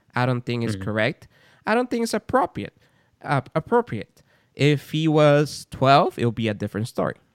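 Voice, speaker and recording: In a dry, close sound with no echo, a man's voice makes very wide pitch swings. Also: medium pitch for a man, fairly quick pace. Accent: strong non-native. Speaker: podcast host and father. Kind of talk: casual chat. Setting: remote call.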